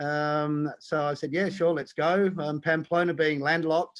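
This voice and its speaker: Speaking with an Australian accent, a man uses a fairly high pitch and monotone, flat intonation. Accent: Australian, still noticeable. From Australia, Tasmania. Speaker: diving instructor and conservation foundation president. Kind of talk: live-streamed interview. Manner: halting, many fillers.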